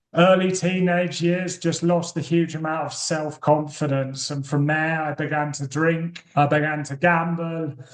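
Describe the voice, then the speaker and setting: Barely pausing, a man talks at a fairly high pitch in a monotone, flat intonation. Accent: British. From UK. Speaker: recovering addict and author. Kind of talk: podcast interview testimony.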